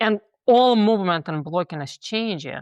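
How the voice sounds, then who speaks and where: On a very clean recording with a silent background and a dry, close sound with no echo, a woman speaks in a Russian accent with vocal fry and lively intonation. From Russia (Moscow). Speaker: theater director and professor. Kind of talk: interview conversation.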